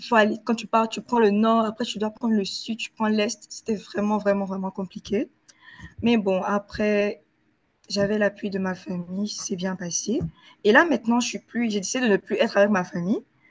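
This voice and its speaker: Recorded in dry, close sound with no echo, the voice is somewhat breathy and moves at a moderate pace with fairly even intonation. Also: woman, fairly high pitch for a woman. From Ivory Coast. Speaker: university student. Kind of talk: interview answer.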